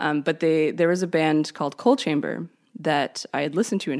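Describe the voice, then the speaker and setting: In a very clean recording with a silent background, a woman with a Canadian accent speaks at a moderate pace with a very deep, low pitch, vocal fry and ordinary pitch variation. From Canada. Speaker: musician and creativity coach. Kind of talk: interview.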